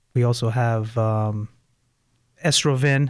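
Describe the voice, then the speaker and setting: A man is talking. His voice falls at a medium pitch. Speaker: pharmacist. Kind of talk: radio interview. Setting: radio studio. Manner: hesitant, many fillers.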